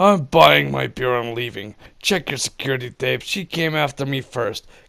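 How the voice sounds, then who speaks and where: Putting on a raspy character voice, a man speaks at a moderate pace and medium pitch, with very wide pitch swings. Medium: read story. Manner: loud, yelling.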